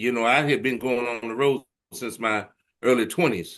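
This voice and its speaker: A man's medium-pitched voice in a Southern US accent, bright and sharp in tone. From US South, Arkansas. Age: 60s. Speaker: blues musician. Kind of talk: interview.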